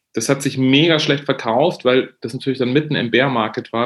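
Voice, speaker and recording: A man speaks at a fairly quick pace in a medium pitch. His pitch varies in an ordinary way. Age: 40s. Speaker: journalist, former foreign correspondent. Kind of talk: podcast interview. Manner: halting, many restarts and fillers.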